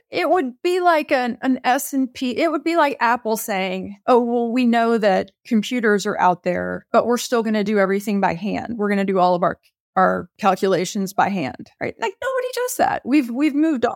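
A woman with an ordinary speaking voice speaks at a fairly high pitch and moderate pace, with lively intonation and hardly any pauses, on a very clean recording with a silent background and a dry, close sound with no echo. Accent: American. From Texas. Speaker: bank executive and bitcoin expert. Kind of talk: interview.

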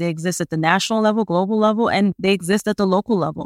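A woman with a normal speaking voice at medium pitch, in a dry, close sound with no echo. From Brooklyn, New York. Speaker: foundation program officer. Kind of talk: podcast interview.

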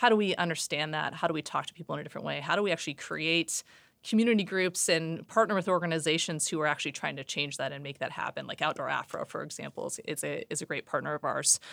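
Speaking very fast with hardly any pauses, a woman with an American accent and a fairly low pitch shows vocal fry and ordinary pitch variation, in a dry, close sound with no echo on a very clean recording with a silent background. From US Pacific Northwest, Seattle. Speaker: retail sustainability executive. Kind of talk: interview.

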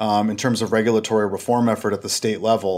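A man with an American accent and a normal speaking voice, at a fairly quick pace. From Minnesota. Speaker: government relations consultant. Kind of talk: interview. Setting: remote call.

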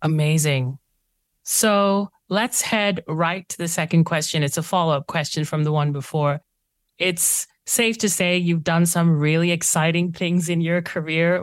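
A woman's normal speaking voice, fairly low-pitched and fairly slow, in a very clean recording with a silent background and a dry, close sound without echo. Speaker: podcast host. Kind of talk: podcast interview.

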